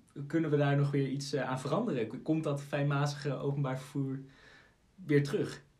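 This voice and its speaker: Over noticeable background noise and audible room echo, a man talks at a fairly high pitch with fairly even intonation. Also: moderate pace. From Aalsmeer, Netherlands. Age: 20s. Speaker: podcast host and law student. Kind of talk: interview.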